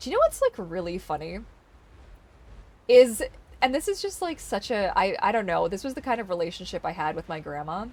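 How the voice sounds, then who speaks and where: Long, frequent pauses break up this speech in a Canadian accent, with noticeable background noise behind it. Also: woman. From British Columbia, Canada. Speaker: streamer. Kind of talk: casual chat. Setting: live stream. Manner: halting. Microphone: may sound quiet in replays.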